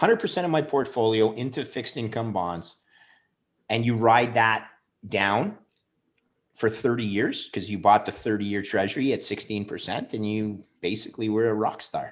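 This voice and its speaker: In a Canadian accent, a man with an unremarkable speaking voice talks at a moderate pace and medium pitch with ordinary pitch variation, on a very clean recording with a silent background. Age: 50s. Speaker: bond trader and investor. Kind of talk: podcast interview.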